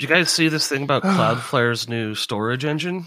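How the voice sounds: With lively intonation and a bright, sharp tone, a man speaks at medium pitch. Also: moderate pace.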